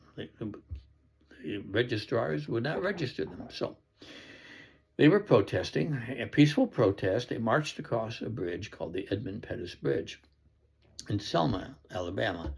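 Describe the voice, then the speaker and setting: With an American accent and vocal fry, a man speaks at a medium pitch, his pitch swinging very widely and his loudness swinging a lot. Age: 80s+. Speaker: political commentator. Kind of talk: personal commentary monologue. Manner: halting, with fillers.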